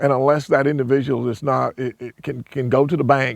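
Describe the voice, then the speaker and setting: Dry and close with no echo, a man talks at a moderate pace and medium pitch with a South Carolina accent. His intonation stays monotone and flat. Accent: US Southern (South Carolina). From South Carolina, Hopkins. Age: 60s. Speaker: landowner and builder. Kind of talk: interview. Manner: halting, many repetitions and fillers.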